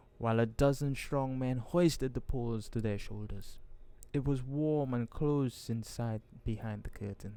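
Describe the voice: Someone reads aloud. The delivery is plain.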